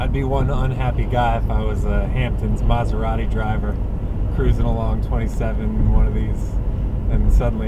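Loud background noise, a dry sound with no echo, and a man at a moderate pace. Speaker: local driver reporting on road damage. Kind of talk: casual vlog commentary. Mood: annoyed, exclamatory. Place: car. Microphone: phone near.

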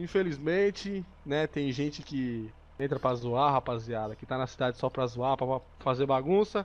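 Behind the man, the background stays quiet. His pitch varies in an ordinary way, and he talks at a moderate pace. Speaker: gaming co-host. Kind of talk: gameplay commentary with roleplay. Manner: animated.

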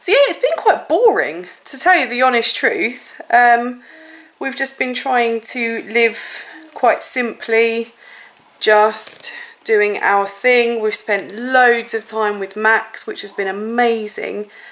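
At a very slow pace, a woman speaks. Her pitch varies in an ordinary way. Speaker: family vlogger. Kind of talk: casual vlog chat. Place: home room.

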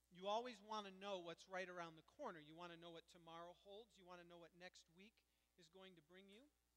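Speaking at a fairly quick pace, a man uses a high voice with fairly even intonation. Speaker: pastor. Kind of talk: sermon. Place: church.

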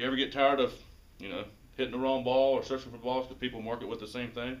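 A man's medium-pitched, monotone, flat delivery at a very fast pace, with big swings in loudness. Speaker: golf shop staff presenter. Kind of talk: mock infomercial pitch. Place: shop.

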